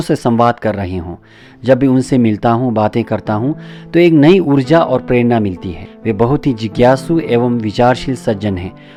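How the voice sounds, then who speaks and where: With ordinary pitch variation, a man speaks against music in the background. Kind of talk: documentary introduction narration.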